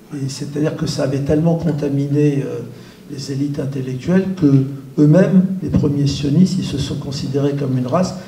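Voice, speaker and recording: Audible room echo and noticeable background noise surround a man speaking at a moderate pace. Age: 70s. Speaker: activist. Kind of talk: panel talk. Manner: hesitant, many fillers.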